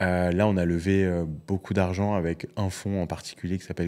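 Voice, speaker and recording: The recording is very clean, with a silent background. A man speaks at a moderate pace with a very deep, low pitch and a dark, mellow tone. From France. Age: 40s. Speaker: entrepreneur and investor. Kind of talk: casual interview conversation. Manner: many hesitations and repeated words.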